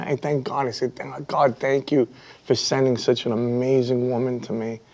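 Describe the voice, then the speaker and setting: This man talks at a moderate pace with a Brooklyn accent. His pitch sits in the medium range. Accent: New York (Brooklyn). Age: 50s. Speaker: YouTube hobby content creator. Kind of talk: studio interview chat. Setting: TV studio.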